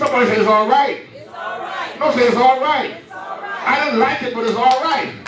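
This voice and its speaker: Over crowd noise and audible room echo, a man speaks in an animated tone. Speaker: preacher. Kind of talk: sermon. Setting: church. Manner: animated, call-and-response preaching, rising and urgent, pausing for 'Amen' replies; fervent, loud, exhortative. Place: church.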